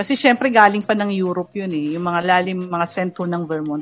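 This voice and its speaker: Using an ordinary speaking voice, a woman talks at a fairly quick pace with medium pitch and ordinary pitch variation. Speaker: program host. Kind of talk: talk show with live viewer greetings.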